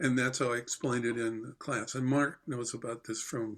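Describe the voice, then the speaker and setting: Using a normal speaking voice, a man with an American accent speaks at a fairly quick pace. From New York, Port Chester. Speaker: jazz drummer and teacher. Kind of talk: casual interview chat. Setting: video call.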